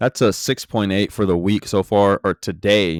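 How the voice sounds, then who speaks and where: The man's very deep, low voice comes through dry and close with no echo in a very clean recording with a silent background. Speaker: trading vlogger. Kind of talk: screen-recorded trading journal. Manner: stuttering, repeats words; casual, filler-heavy.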